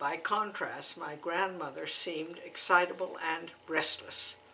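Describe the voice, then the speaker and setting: Noticeable background noise sits behind a woman speaking at a fairly slow pace and fairly low pitch, with fairly even intonation. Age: 80s. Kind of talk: memoir reading.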